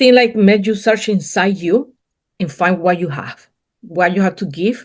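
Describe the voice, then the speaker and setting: A woman speaks with a non-native accent at a medium pitch. Her pace is fairly slow and her intonation lively. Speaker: entrepreneur, painting company co-owner. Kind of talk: interview answer.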